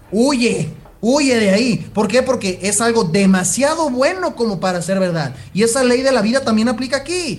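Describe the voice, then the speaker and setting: A man speaks at an extremely high pitch with lively intonation. His pace is moderate, and there is noticeable background noise. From Jalisco, Mexico. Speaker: sports nutritionist and personal trainer. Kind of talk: casual interview chat.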